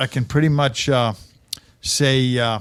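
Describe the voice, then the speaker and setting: A man talks with ordinary pitch variation. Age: 60s. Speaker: stand-up comedian. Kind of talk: casual chat. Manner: halting, repetitive restarts.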